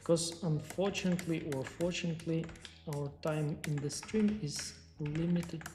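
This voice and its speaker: Someone with a non-native accent talks at a moderate pace over noticeable background noise. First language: not English. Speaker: 3D artist and sculpting teacher. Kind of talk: livestream tutorial with chat Q&A. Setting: livestream.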